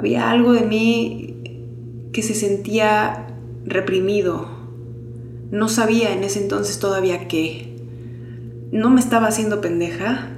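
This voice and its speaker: With a Mexican accent, a woman speaks very slowly at a medium pitch, with very wide pitch swings and long, frequent pauses, amid audible room echo and noticeable background noise. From Mexico. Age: 30s. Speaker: podcast host. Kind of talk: personal testimony. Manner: unscripted, conversational.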